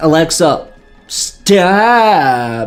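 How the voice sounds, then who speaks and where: A whiny put-on character voice at a middle pitch, with faint music in the background. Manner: whiny, petulant.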